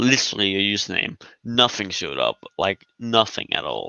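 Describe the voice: A man talks at a fairly low pitch in a bright, sharp tone with big pitch swings. Vocal fry runs through his voice. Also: moderate pace.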